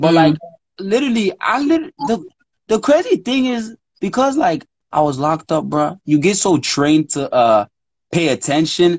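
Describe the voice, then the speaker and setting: With an American accent, this voice swings very widely in pitch at a moderate pace, captured in a dry, close recording with no echo. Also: man, high pitch for a man. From Washington, D.C. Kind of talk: casual chat.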